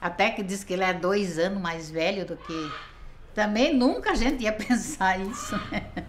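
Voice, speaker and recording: A woman at a medium pitch speaks at a fairly slow pace with lively intonation, with audible room echo and noticeable background noise. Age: 70s. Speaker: survivor's wife. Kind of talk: interview testimony. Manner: halting.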